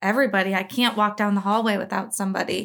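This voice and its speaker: This is a woman with a plain, everyday voice, fairly high in pitch with fairly even intonation. The recording is very clean, with a silent background. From moved around the US. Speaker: military career advisor. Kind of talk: casual chat.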